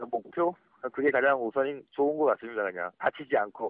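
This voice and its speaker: In a normal speaking voice, a man keeps a fairly quick pace. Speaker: special forces soldier and amateur marathon runner. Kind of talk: phone interview. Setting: phone call from office. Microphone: phone line volume drops at times.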